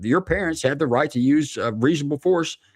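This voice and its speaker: Recorded dry and close with no echo over a quiet background, a plain, everyday voice moves at a fairly quick pace with ordinary pitch variation. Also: man. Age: 50s. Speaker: former police officer. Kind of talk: casual chat.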